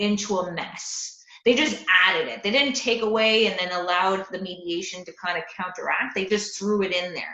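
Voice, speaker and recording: In a room with audible echo, a woman talks at a fairly quick pace with a medium pitch and ordinary pitch variation. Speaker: landlord advocate. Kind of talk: presentation to investor club. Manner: fast.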